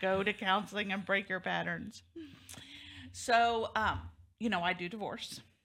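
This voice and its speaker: A woman's medium-pitched voice with vocal fry, a bright, sharp tone, flat monotone delivery and long, frequent pauses, on a very clean recording over a silent background. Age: 50s. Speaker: talk show host, divorce lawyer. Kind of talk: interview talk show.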